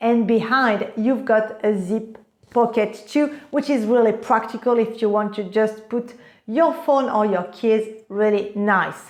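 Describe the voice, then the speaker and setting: With a French accent, a woman speaks fairly slowly and in an enthusiastic tone, her pitch fairly high with ordinary variation. Audible room echo surrounds her voice. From France. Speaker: fashion vlogger. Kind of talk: product review vlog.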